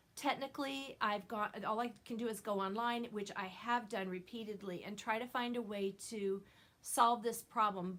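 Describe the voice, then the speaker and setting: A woman talks at a moderate pace with a fairly high pitch. Her intonation stays fairly even. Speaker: knitting video podcaster. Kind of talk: casual chat. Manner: loud.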